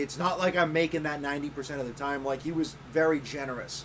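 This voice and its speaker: Noticeable background noise accompanies a man who speaks at a moderate pace with fairly high pitch. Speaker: podcast co-host. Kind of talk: casual chat.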